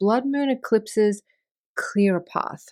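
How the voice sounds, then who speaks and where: Soft-spoken and dark, mellow in tone, a woman talks with ordinary pitch variation in a very clean recording with a silent background. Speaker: astrologer. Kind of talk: weekly forecast monologue. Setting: home, child's bedroom.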